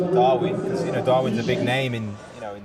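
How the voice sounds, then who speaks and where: Speaking at a very fast pace in an English accent, a man is heard over noticeable background noise. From Birmingham, England. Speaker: soccer coach. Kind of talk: interview.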